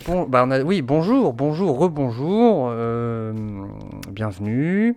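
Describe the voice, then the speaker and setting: This man has a fairly high pitch and very wide pitch swings. He talks at a very slow pace. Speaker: podcast co-host. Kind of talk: casual chat.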